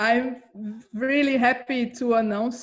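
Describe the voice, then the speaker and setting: Very slowly, a woman with a Brazilian Portuguese accent speaks with ordinary pitch variation. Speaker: comics scholar. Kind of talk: interview. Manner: hesitant, many fillers.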